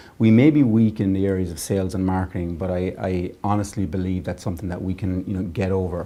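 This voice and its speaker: Speaking at a very fast pace with an Irish accent, this voice has a dark, mellow tone and fairly even intonation. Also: man, very deep, low pitch for a man. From Ireland. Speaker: tech business leader. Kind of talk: interview.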